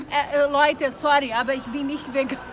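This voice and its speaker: An animated, high-pitched woman's voice over music in the background. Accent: Brazilian. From Brazil, Rio de Janeiro. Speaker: YouTuber. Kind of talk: casual chat. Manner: halting. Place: street. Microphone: phone near.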